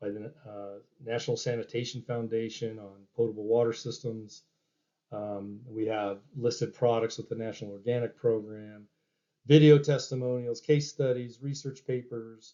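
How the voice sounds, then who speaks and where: A man's voice with fairly even intonation but big shifts in loudness. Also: medium pitch for a man, moderate pace. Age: 60s. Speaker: company founder and chemistry developer. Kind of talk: business presentation. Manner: halting, many fillers.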